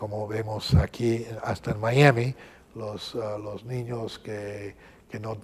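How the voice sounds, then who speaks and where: At a very slow pace, a man speaks with fairly even intonation in a fairly low, somewhat breathy voice, his loudness swinging widely. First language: English (speaking Spanish). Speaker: archbishop. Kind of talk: interview. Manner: halting, many fillers.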